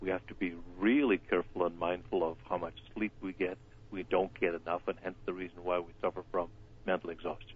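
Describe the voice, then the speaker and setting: His pitch varies in an ordinary way and sits very deep and low. The man talks at a fairly quick pace. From Ireland. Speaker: wellness doctor. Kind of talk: live radio interview. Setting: phone call.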